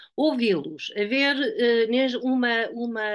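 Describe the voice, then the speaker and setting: A woman's high-pitched voice with lively intonation at a very slow pace, over a quiet background. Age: 70s. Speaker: educator. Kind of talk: panel discussion.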